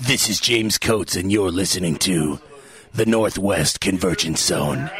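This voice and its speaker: Putting on a dramatic character voice, a man speaks at a moderate pace in a fairly low pitch over clear background noise. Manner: dramatic, announcer-style.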